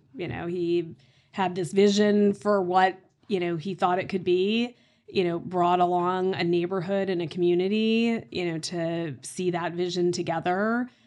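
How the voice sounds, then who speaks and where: With a plain, everyday voice and an American accent, a woman speaks at a medium pitch and a fairly slow pace. Her intonation stays fairly even over a quiet background. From Oklahoma, US. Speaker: real estate executive. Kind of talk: interview conversation.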